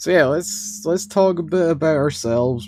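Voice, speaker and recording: A man speaks with a Scottish accent. His pace is fairly slow. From Scotland. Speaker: wrestling podcast co-host. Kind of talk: casual chat.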